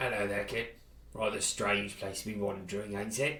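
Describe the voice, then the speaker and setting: A man uses a gruff, raspy put-on character voice, fairly low in pitch. He speaks at a moderate pace against clear background noise. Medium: game stream. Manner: gruff, colloquial.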